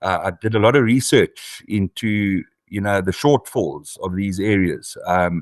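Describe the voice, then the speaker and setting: A man in a South African accent is heard with a dry, close sound, no echo and a quiet background. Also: fairly low pitch for a man, ordinary pitch variation, fairly slow pace. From South Africa, Eastern Cape. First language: isiXhosa. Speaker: author and farmer. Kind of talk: interview. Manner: hesitant, many fillers.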